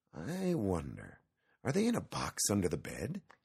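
In a put-on character voice, the speaker mumbles soft-spoken at a moderate pace, with very wide pitch swings, a slightly mellow tone, a husky, rough edge and vocal fry.

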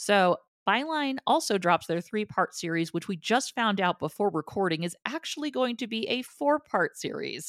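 In a New Jersey accent, a woman of medium pitch speaks at a moderate pace with hardly any pauses and very wide pitch swings, on a very clean recording with a silent background and a dry, close sound with no echo. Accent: mild New Jersey. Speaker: podcast co-host. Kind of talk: casual chat.

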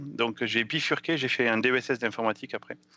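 A man with a southwestern French accent, moderate pace and fairly even intonation. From southwestern France, near Pau. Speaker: software developer. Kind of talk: casual chat.

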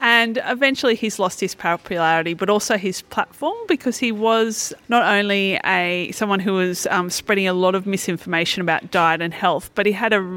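In an Australian accent, a woman speaks fairly quickly with a bright, sharp tone at a medium pitch and ordinary pitch variation. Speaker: skeptic activist. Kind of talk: interview. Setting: at a convention.

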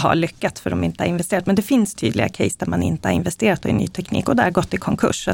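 Lively intonation and vocal fry mark this very fast speech. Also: woman. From Sweden, Eskilstuna. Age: 40s. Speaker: robotics engineer. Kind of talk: interview.

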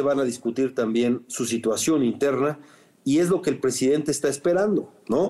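A man speaks with a Mexican accent at a fairly high pitch and with ordinary pitch variation. His tone is dark and mellow. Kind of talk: interview. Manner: halting, with many fillers and repetitions.

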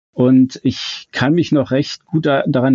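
His pitch sits in the middle range for a man. The delivery stays monotone and flat. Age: 50s. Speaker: fan website founder. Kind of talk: casual chat.

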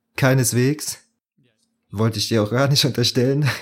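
An ordinary speaking voice: a man talks at a moderate pace with fairly even intonation. The recording is very clean, with a silent background. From southwestern Germany, Bitburg (Eifel). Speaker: podcast co-host, psychology student. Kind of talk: casual chat.

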